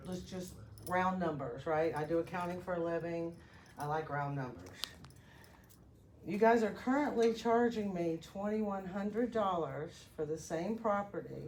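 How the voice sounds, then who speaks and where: In a room with audible echo, a woman speaks at a moderate pace. Her pitch is fairly low and her intonation lively. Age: 60s. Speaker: concerned citizen speaking at public comment. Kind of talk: public comment at a county meeting. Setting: public meeting room with audience.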